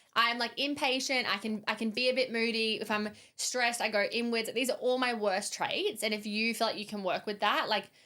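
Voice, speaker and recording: Loud and bright with a sharp edge, a woman talks at a fairly quick pace with hardly any pauses, her fairly high voice keeping a fairly even intonation. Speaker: podcast host and business founder. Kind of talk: casual chat.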